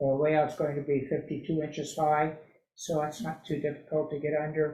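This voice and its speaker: A man with a dark, mellow tone and fairly high pitch speaks at a moderate pace in a flat, monotone way, somewhat breathy, with audible room echo. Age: 70s. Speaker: model railroad hobbyist presenter. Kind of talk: presentation.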